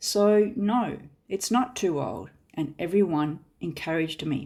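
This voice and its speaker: On a very clean recording with a silent background, a woman speaks with lively intonation. Her pitch is fairly low and her tone dark and mellow. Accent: Australian. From Australia (Perth). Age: 50s. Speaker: podcast host. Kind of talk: scripted narration.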